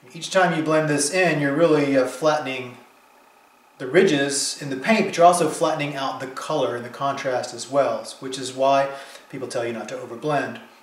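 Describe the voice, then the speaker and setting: A man with a fairly high pitch speaks with ordinary pitch variation and big swings in loudness, over noticeable background noise and audible room echo. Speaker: painter teaching his technique. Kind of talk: tutorial. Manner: fast; hesitant, many fillers and restarts.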